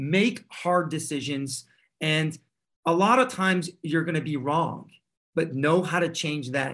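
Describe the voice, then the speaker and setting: A man with an ordinary speaking voice, fairly high pitch and ordinary pitch variation, at a fairly slow pace over a quiet background. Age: 40s. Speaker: tech startup CEO and founder. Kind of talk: interview.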